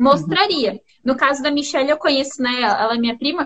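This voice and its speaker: A woman speaks in a high-pitched voice. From Paraná, Brazil (Londrina). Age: young. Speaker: business mentor. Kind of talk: casual interview.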